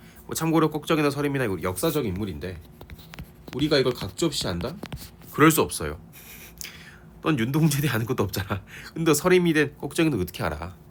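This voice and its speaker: Talking very fast yet with long, frequent pauses, a man with a fairly high pitch and vocal fry makes very wide pitch swings. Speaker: literature teacher. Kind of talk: lecture. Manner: casual, conversational.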